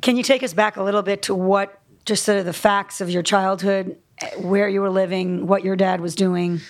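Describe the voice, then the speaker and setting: A woman with a medium-pitched voice talks at a moderate pace in a flat monotone. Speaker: interviewer. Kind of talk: live interview. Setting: stage with audience.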